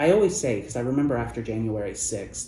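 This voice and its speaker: A man speaks with very wide pitch swings. Room echo is audible. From US Midwest (Ohio). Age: 30s. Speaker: journalist. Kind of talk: interview. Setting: event venue.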